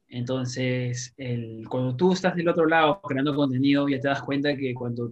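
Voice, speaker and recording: A man with an unremarkable speaking voice, fairly high in pitch, at a fairly slow pace. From Peru, Lima. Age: 30s. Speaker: YouTuber. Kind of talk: interview.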